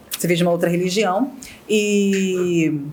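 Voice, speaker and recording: This woman has a medium pitch. Her pitch varies in an ordinary way. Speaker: podcast host. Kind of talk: casual interview. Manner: fast; animated.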